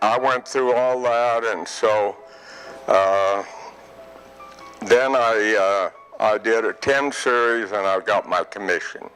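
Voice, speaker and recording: A man with an American accent speaks at a very slow pace, with long, frequent pauses and fairly even intonation. Music plays in the background. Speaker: retiree telling life story. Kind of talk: interview storytelling. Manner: halting.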